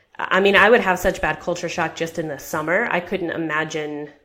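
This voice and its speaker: A woman with an American accent, very deep and low in pitch, with fairly even intonation and noticeable background noise. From American expat raised in Japan and China. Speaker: personal finance author. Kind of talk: interview.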